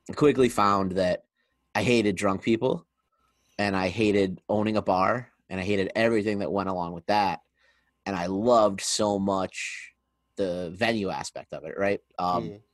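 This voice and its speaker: Over a quiet background, a man with a normal speaking voice talks at a moderate pace in a fairly low pitch, his intonation fairly even and the sound dry and close with no echo. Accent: American. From Pennsylvania, Scranton. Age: 30s. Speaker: podcast host. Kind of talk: casual interview chat.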